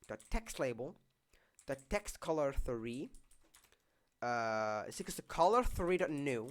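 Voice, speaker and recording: The delivery has a fairly slow pace. Long, frequent pauses break it up. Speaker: Roblox game development YouTuber. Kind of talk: coding tutorial. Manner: casual, halting with fillers.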